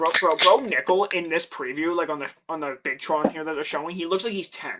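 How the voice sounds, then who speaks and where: A man's high voice in a Canadian accent, fairly quick, with ordinary pitch variation. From Canada, Ontario. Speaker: MMA streamer. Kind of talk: casual live stream chat. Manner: animated.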